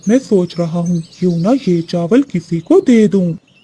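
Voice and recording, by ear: A cartoonish character voice at middle pitch talks at a moderate pace.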